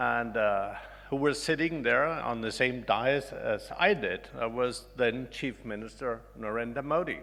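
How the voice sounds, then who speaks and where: Amid audible room echo, a man speaks at a fairly slow pace in a bright, sharp tone with ordinary pitch variation. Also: medium pitch for a man. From Denmark. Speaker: ambassador. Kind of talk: conference speech.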